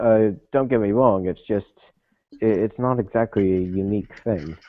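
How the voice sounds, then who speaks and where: This is a normal speaking voice from a man, pitched fairly low. He talks at a moderate pace with ordinary pitch variation. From Canada. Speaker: podcast co-host. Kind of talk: casual chat.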